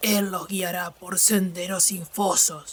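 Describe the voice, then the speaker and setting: Putting on a guttural character voice, a woman speaks at a fairly slow pace with a medium pitch. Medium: read story. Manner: halting broken speech with strange words.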